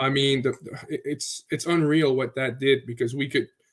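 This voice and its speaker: A man's fairly high voice at a fairly quick pace, in a Quebec accent. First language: French. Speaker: crypto community member. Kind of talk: casual livestream chat. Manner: occasionally searching for words.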